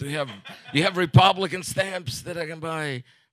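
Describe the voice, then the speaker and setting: This man has an unremarkable speaking voice. He talks at a fairly quick pace with ordinary pitch variation. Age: 40s. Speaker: comedian. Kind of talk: stand-up.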